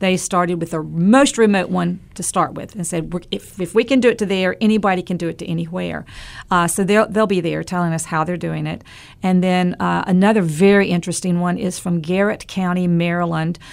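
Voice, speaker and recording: A woman talks at a fairly quick pace with an American accent. Her pitch is fairly low. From western North Carolina. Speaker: rural broadband advocate. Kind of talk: interview. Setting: studio. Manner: animated.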